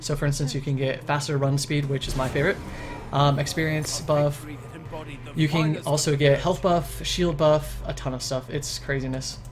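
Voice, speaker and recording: Over music in the background, a man speaks at a fairly high pitch in a monotone, flat intonation. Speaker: gaming commentator. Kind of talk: gameplay commentary tutorial. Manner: fast.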